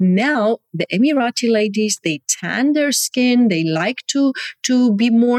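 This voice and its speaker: A woman speaks very slowly at a fairly high pitch with very even loudness. The sound is dry and close, with no echo. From Germany. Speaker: dermatologist. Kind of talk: interview. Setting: video call.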